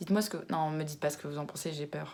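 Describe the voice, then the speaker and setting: A woman at a very fast pace, with fairly even intonation. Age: 20s. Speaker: YouTuber. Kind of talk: casual vlog chat. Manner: hesitant, with fillers.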